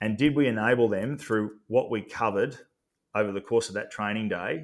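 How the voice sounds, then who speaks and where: Fairly quick pace in an Australian accent, with ordinary pitch variation. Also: man. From regional Victoria, Australia. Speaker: athlete wellbeing and leadership consultant. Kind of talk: interview. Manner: halting, many fillers and repeats.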